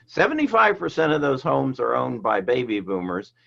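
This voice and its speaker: A man is speaking here. His pace is moderate. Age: 70s. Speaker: real estate agent. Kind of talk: podcast interview. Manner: halting, with frequent repetitions.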